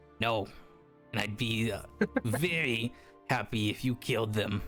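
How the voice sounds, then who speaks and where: Over clear background music, a man does a put-on character voice at a moderate pace, with medium pitch and ordinary pitch variation. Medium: actual play. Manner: coarse, blunt, swearing.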